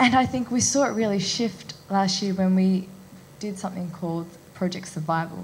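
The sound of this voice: A woman with a medium pitch talks at a moderate pace with ordinary pitch variation, and audible room echo surrounds her voice.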